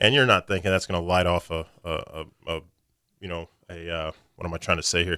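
With a Midwestern American accent, a man speaks at a fairly quick pace in a very deep, low pitch. His intonation is fairly even, broken by long, frequent pauses. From US Midwest, Springfield, Missouri. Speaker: firefighter. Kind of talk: casual chat.

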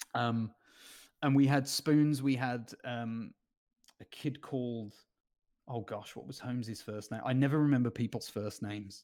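A man speaks with an English accent at a fairly slow pace. His intonation is fairly even, broken by long, frequent pauses. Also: medium pitch for a man, big swings in loudness. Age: 30s. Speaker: former youth footballer and coach. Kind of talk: interview.

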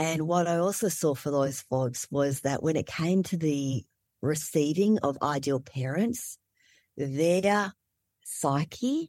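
A woman speaks at a very slow pace in a very deep, low pitch with a dark, mellow tone. Her pitch variation is ordinary, and the recording is very clean with a silent background. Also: dry, close sound with no echo. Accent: Australian. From Australia (Melbourne), born in Vietnam. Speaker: somatic trauma therapist. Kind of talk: interview conversation.

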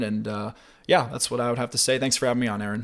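A man talks with monotone, flat intonation. His pitch is medium. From Tennessee. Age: 20s. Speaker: young preacher. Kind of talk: conversational interview. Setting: studio.

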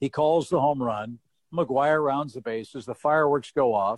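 A man with a plain, everyday voice and an American accent, medium pitch, ordinary pitch variation and a moderate pace, in a dry, close sound with no echo over a quiet background. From US Midwest, St. Louis. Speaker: baseball play-by-play announcer. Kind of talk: storytelling interview.

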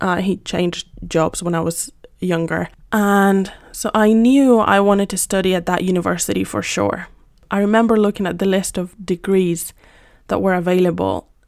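On a very clean recording with a silent background, a woman speaks at a moderate pace in a relaxed tone. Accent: Spanish. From Spain, Madrid. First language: Spanish. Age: 20s. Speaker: podcaster and teacher. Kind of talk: casual monologue. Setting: home, on a couch. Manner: relaxed, unscripted.

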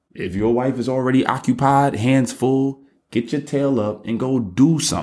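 A man with a New York accent speaks in an animated tone. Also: very clean recording, silent background. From New York (Brooklyn). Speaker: podcast co-host. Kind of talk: casual chat.

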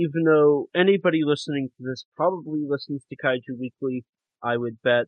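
A man with an unremarkable speaking voice uses a fairly high pitch and ordinary pitch variation, speaking at a moderate pace. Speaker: podcast host. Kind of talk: casual chat.

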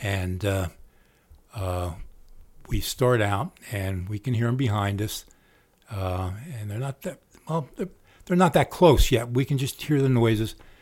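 Speaking at a fairly slow pace with long, frequent pauses, a man with an American accent uses a medium, somewhat breathy voice and lively intonation. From Trenton, New Jersey. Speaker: war veteran. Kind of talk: interview storytelling.

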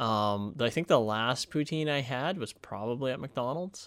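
An ordinary speaking voice from a man at medium pitch and moderate pace, on a very clean recording with a silent background. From Saskatchewan, Canada (Moose Jaw and farm). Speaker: video creator and podcast co-host, camera operator. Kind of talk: casual chat. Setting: behind the camera, eating an apple.

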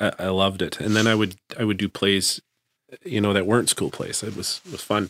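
Dry, close sound with no echo from a man with a Canadian accent, a plain, everyday voice, fairly low pitch, fairly quick pace and fairly even intonation. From Canada. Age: 50s. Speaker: school principal. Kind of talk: interview.

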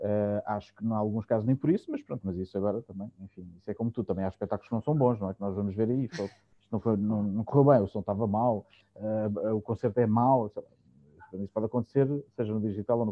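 A man delivers his words very fast, his voice fairly low in pitch and his intonation fairly even. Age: 40s. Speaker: music industry producer. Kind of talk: casual panel discussion.

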